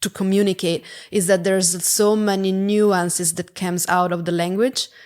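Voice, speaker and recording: The speaker talks at a moderate pace in an Italian accent, with flat, monotone intonation. The recording is very clean, with a silent background. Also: woman, medium pitch for a woman. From Italy. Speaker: product executive. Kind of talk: podcast interview. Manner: halting.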